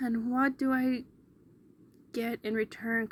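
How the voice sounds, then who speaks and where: A woman uses a put-on character voice at a high pitch. She speaks at a fairly slow pace with monotone, flat intonation. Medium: read story. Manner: brash, swearing.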